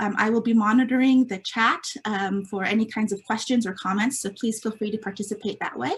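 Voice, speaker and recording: A woman at a fairly high pitch, fairly quick pace with hardly any pauses, fairly even intonation, noticeable background noise. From California Central Coast, Mexican immigrant family. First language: Spanish. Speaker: nonprofit staff member, meeting moderator. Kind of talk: virtual meeting presentation. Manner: hesitant, many fillers.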